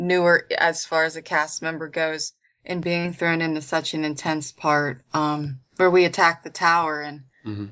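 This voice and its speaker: A woman with an American accent and an unremarkable speaking voice, fairly low-pitched, at a moderate pace with fairly even intonation. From Pennsylvania, US. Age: 20s. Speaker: actress. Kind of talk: interview.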